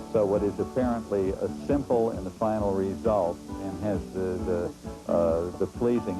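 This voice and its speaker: With music in the background, a man speaks at a moderate pace in a very deep, low voice with lively intonation. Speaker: display artist. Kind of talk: interview answer.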